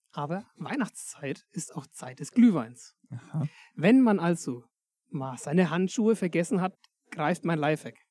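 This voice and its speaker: A fairly slow delivery in a Berlin accent, broken by long, frequent pauses. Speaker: podcast host. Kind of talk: casual chat. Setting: in a sheep stall. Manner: animated.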